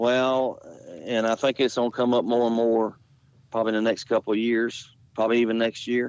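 A man with a Southern US accent speaks at medium pitch in a flat monotone, at a moderate pace and very even loudness. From Jacksonville, Florida. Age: 50s. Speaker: dirt late model race car driver. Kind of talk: interview. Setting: phone call.

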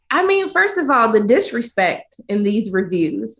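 A woman speaks in a raised, projected voice with a bright, sharp tone. She sounds animated, and her pitch swings very widely. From US South, Georgia. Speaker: film critic. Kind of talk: casual chat.

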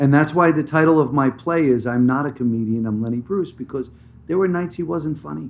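A man with an American accent has an unremarkable speaking voice, fairly high in pitch. He moves at a fairly quick pace with ordinary pitch variation. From New Jersey. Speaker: actor. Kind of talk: interview.

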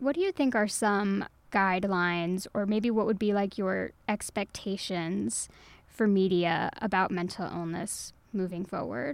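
In an American accent, a woman with a plain, everyday voice speaks at a fairly slow pace and medium pitch, with ordinary pitch variation against a quiet background. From Texas. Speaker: books editor. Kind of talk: interview. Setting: studio.

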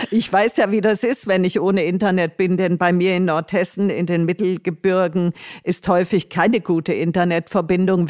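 A woman speaks at a moderate pace in a medium-pitched voice with fairly even intonation and very even loudness, in a very clean recording with a silent background. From northern Hesse, Germany. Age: 60s. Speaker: retired social worker and traveller. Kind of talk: interview. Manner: hesitant with many fillers.

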